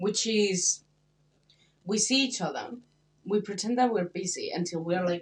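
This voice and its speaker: Somewhat breathy, a woman with a Spanish accent talks with ordinary pitch variation and long, frequent pauses. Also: medium pitch for a woman, moderate pace. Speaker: podcast co-host, international student. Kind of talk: casual chat.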